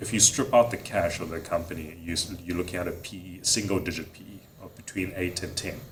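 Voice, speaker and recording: A man with a South African accent talks very fast at a very deep, low pitch, with ordinary pitch variation and big swings in loudness, amid noticeable background noise and audible room echo. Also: hardly any pauses. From South Africa, Durban. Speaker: investment manager. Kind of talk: interview. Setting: conference studio.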